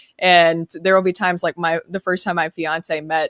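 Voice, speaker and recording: Monotone with flat intonation, the voice moves at a moderate pace in a dry, close sound with no echo and a very clean, silent background. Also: woman. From US South, Murfreesboro, Tennessee. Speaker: sports radio host. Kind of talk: casual chat.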